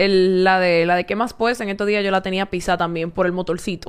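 Intonation stays monotone and flat as the speaker goes at a fairly quick pace. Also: woman. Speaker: volleyball player. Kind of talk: casual chat.

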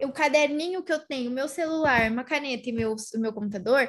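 Her pace is fairly quick. The woman's high voice makes very wide pitch swings. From São Paulo, Brazil. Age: 20s. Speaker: podcast host, social media marketer. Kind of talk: casual interview chat.

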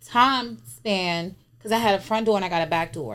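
In an American accent, a woman with a plain, everyday voice talks at a medium pitch with ordinary pitch variation. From DMV area (Washington DC region). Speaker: social media personality. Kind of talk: casual chat.

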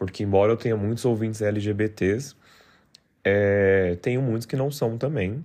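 Against a quiet background, a man in an unremarkable speaking voice talks fairly slowly at a fairly low pitch with ordinary pitch variation. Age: 30s. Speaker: podcast host. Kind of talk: solo podcast monologue.

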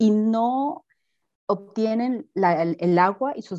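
Her intonation rises and falls in a lively way. This woman's tone is dark and mellow. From Peru, Piura (northern coast). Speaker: university researcher in botany. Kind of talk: interview.

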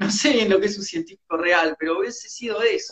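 Speaking with an Argentine accent, a man keeps a fairly quick pace and a high pitch with ordinary variation. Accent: Argentine Spanish (Rioplatense). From Argentina. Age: 30s. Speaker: rock musician. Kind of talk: interview.

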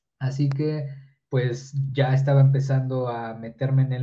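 A man with a medium pitch speaks in a dark, mellow tone that is somewhat breathy. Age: 20s. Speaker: engineering student and content creator. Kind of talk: casual interview.

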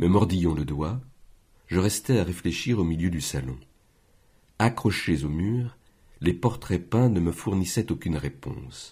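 A man with a very deep, low voice, vocal fry and a dark, mellow tone speaks at a fairly slow pace with lively intonation and long, frequent pauses, on a very clean recording with a silent background. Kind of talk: audiobook reading. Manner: measured, slow, unhurried literary narration.

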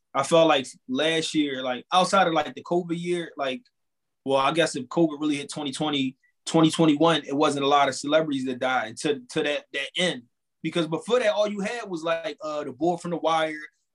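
A man with an ordinary speaking voice talks at a moderate pace. His pitch is fairly high, with ordinary pitch variation. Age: 30s. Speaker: podcast host. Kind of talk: casual chat.

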